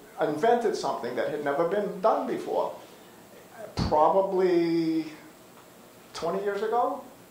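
With an American accent, a man speaks at a fairly slow pace in a high voice with ordinary pitch variation. Audible room echo and light background noise fill the recording. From Massachusetts, Boston area. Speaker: panelist and community leader; panelist. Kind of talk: panel discussion and reminiscence. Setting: community center with audience. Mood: warm, reminiscing. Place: hall.

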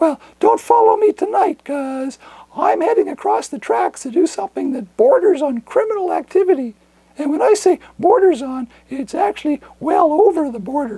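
A cartoonish character voice at high pitch. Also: moderate pace. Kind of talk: comedic monologue to camera. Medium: puppet.

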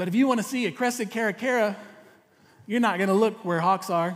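A man with a Texan accent and ordinary pitch variation, over a quiet background. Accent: Texan Southern US. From East Texas. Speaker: pastor. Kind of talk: sermon. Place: church. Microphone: headset.

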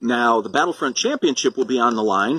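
The man's animated tone comes through a dry sound with no echo against a quiet background. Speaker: wrestling promoter. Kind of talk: wrestling promo announcement. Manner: animated, hyped-up promoter delivery. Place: garden. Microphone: phone near.

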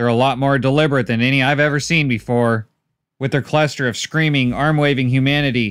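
A passage is read out loud in a natural voice, the intonation fairly even. Behind it, the background stays quiet.

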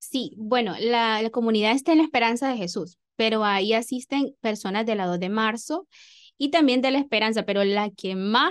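Against a quiet background, a woman talks at a moderate pace. Her pitch is fairly high. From Honduras, El Progreso, Yoro; Honduras. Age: 20s. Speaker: teacher. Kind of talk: radio interview. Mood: warm, calm. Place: studio. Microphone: studio mic.

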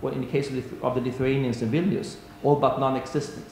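A man speaks at a fairly quick pace in a room with audible echo and light background noise. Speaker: panelist. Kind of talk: conference talk. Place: hall. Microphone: podium.

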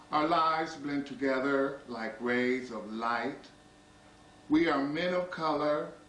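The speaker has an American accent and fairly even intonation. Room echo is audible. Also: man. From US. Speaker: poetry reader. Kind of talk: poetry reading, measured and intimate, read aloud from an anthology. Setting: small private gathering of friends. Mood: calm, tender, measured. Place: home room. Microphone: old recording.

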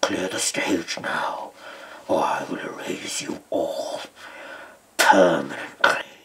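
A growling put-on character voice at a very slow pace, with long, frequent pauses. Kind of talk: theatrical character performance. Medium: audio drama. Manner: imperious, commanding. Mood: threatening.

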